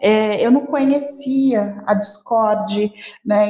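A woman talks at a fairly high pitch. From Rio de Janeiro, Brazil. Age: 40s. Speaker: advertising professional and social media specialist. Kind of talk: podcast interview.

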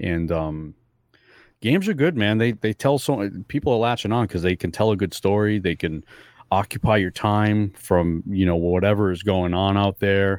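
Delivered at a moderate pace with ordinary pitch variation and very even loudness, the voice sounds dry and close with no echo on a very clean recording with a silent background. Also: man, fairly low pitch for a man. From New England (Fall River, Massachusetts). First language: not English. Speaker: podcast co-host. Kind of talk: casual chat.

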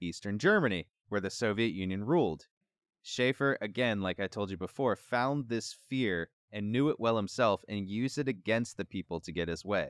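In an ordinary speaking voice, a man talks at a moderate pace with lively intonation, recorded very clean with a silent background and a dry, close sound with no echo. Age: 30s. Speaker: podcast host. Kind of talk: casual chat; scripted narration.

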